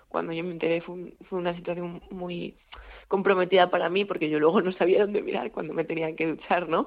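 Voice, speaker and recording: A woman's fairly low-pitched voice. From Galicia, A Coruña. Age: 20s. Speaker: university student. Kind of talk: radio interview.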